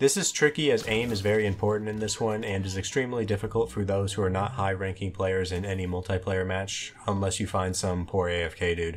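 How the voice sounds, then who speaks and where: Over noticeable background noise, a man with a fairly low pitch talks at a fairly quick pace with hardly any pauses. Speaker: gaming achievement guide creator. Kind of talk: game tutorial narration. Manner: monotone.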